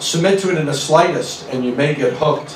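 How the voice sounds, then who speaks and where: Recorded with audible room echo and light background noise, a man speaks at a moderate pace. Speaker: presenter. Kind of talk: lecture. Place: hall.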